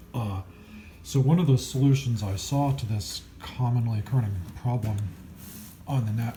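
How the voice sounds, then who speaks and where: Mumbling at a moderate pace, a man with a medium pitch uses lively intonation. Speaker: electronics hobbyist, musician. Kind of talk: unscripted repair talk to camera. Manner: mumbling, hesitant.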